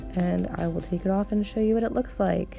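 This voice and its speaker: Music can be heard behind the speech. The woman keeps a moderate pace. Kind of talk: casual hair tutorial talk to camera. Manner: hesitant, many filler ums.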